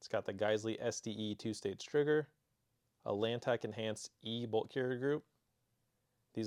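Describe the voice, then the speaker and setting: At a moderate pace, a man with an American accent talks at a medium pitch in a dry, close sound with no echo. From Arizona. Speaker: gun channel host and firearms store worker. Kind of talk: casual vlog talk; product showcase reading viewer submissions. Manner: not very enthusiastic; monotone.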